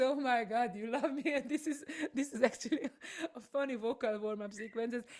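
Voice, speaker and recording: A woman speaks at a moderate pace in a Hungarian accent. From Hungary. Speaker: voice coach and singer. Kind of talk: interview.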